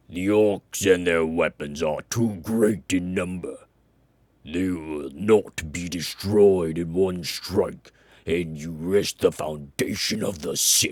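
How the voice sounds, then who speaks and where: Booming and very deep, a man's put-on character voice moves at a fairly slow pace. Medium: read story. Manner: measured, authoritative.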